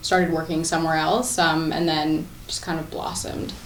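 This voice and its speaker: The speaker has a Canadian accent. Noticeable background noise and audible room echo fill the recording. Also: woman. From Scarborough, Ontario, Canada. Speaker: interview guest. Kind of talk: TV interview. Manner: hesitant, many fillers.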